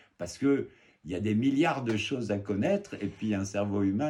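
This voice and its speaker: A man has a dark, mellow tone. His intonation is lively. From Germany, French military family. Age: 60s. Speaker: naturalist and author. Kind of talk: podcast interview. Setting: office. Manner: animated.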